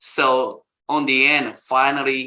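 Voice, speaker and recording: With a Japanese accent, a man talks at a very slow pace. His tone is bright and sharp, at a medium pitch. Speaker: caricature artist. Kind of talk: interview.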